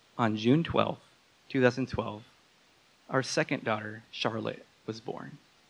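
Speaking at a fairly slow pace with long, frequent pauses, a man uses a medium pitch, ordinary pitch variation and vocal fry. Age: 30s. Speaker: storyteller at a live talk. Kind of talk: prepared personal story told to an audience.

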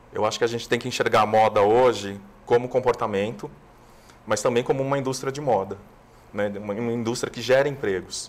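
This man has a normal speaking voice at a medium pitch. He talks at a fairly quick pace with fairly even intonation. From Brazil, São Paulo city. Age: 50s. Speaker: TV screenwriter and producer. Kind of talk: interview.

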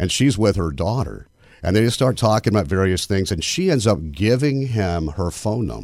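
On a very clean recording with a silent background, a man with vocal fry and a fairly low pitch speaks at a moderate pace with lively intonation. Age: 50s. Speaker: radio host. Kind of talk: casual chat.

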